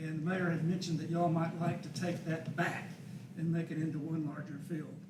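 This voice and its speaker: Speaking at a moderate pace with an Arkansas accent, a man with a high pitch is heard amid audible room echo and noticeable background noise. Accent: Southern US (Arkansas). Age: 70s. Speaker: park design consultant presenting to council. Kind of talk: public presentation at council meeting. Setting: city council meeting. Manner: conversational, informal.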